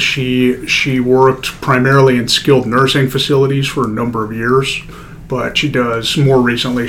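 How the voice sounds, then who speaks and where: Noticeable background noise and audible room echo fill the recording. A man with an American accent speaks at medium pitch in a monotone, flat intonation. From Denver, Colorado. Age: 30s. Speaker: orthopaedic surgeon. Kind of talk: casual interview.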